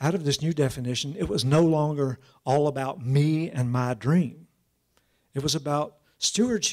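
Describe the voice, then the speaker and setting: A man talks at a moderate pace with ordinary pitch variation, and the background is quiet. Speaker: keynote speaker. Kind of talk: lecture. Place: hall. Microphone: podium.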